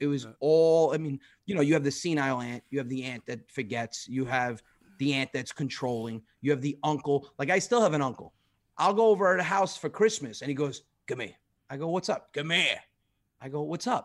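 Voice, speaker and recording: It's an ordinary speaking voice: a man with a fairly high pitch and lively intonation talks at a fairly quick pace on a very clean recording with a silent background. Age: 40s. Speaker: comedian. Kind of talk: casual chat.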